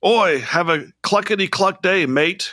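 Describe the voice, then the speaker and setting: A raspy, put-on character voice at a middle pitch plays an Australian accent at a fairly slow pace. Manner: jokey, cheerful.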